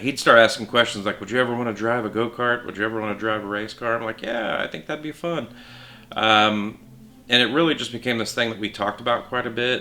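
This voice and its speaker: With noticeable background noise, someone talks at a fairly quick pace in an American accent. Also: man. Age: 40s. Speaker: amateur race car driver. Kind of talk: documentary interview. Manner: halting.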